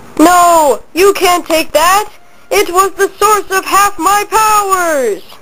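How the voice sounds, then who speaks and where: An extremely high put-on character voice at a very slow pace, with clear background noise. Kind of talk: comic overacting. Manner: whiny, then deadpan.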